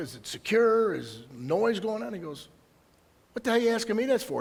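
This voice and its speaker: With an Upper Midwest accent, a man speaks in an animated tone with lively intonation. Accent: Upper Midwest American. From Michigan, Detroit area. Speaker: county prosecutor. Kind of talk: public presentation. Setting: presentation to audience. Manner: fast.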